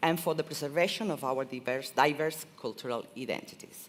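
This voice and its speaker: Speaking at a moderate pace, a woman talks with a non-native accent. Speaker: event presenter. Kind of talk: event hosting. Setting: stage with audience. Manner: animated.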